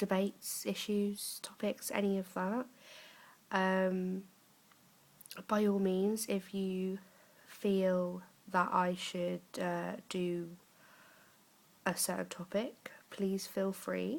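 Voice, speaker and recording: A woman's medium-pitched voice in an English accent, very slow and flat, monotone, with long, frequent pauses. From England, Norwich, Norfolk. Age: 20s. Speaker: vlogger, young mother. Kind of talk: casual vlog talk. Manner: halting, many fillers.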